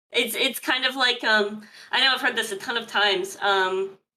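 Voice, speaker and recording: A woman speaks loudly at a moderate pace. Her tone is bright and sharp. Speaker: streamer. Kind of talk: casual chat. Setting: live stream.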